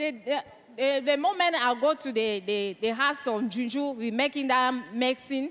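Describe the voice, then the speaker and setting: Amid noticeable background noise, a woman with a high pitch speaks with a French accent. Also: ordinary pitch variation, moderate pace. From Cameroon. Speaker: wife giving testimony. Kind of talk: testimony. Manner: halting.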